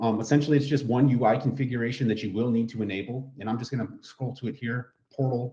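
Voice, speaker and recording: A man talks at a very fast pace, his medium-pitched voice dark, mellow and somewhat breathy. His pitch varies in an ordinary way. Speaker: product trainer. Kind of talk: webinar tutorial. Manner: casual.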